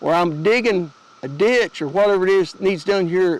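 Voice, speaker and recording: With an Appalachian accent, a man speaks at a moderate pace in a high voice with lively intonation. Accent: Appalachian Southern US. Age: 60s. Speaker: homesteader and gear YouTuber. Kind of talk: gear tutorial. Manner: casual, folksy, with hesitations.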